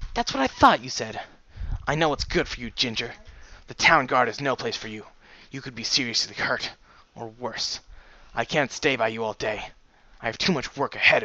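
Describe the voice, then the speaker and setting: Long, frequent pauses break up a man's put-on character voice. His pitch sits at a medium level. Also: moderate pace. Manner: controlling, angry.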